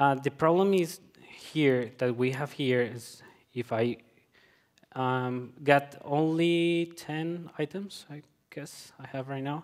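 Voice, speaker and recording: Over a quiet background, a man with a Colombian accent speaks at a very slow pace, with ordinary pitch variation and big swings in loudness. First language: Spanish. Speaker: software developer. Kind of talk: conference talk. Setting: stage with audience. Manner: halting, many filler words. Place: hall.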